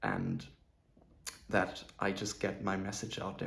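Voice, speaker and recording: Audible room echo surrounds a man with a non-native accent and vocal fry, speaking at a moderate pace. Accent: non-native speaker of English. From southern Germany. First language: German. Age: 20s. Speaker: self-improvement vlogger. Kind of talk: personal vlog monologue.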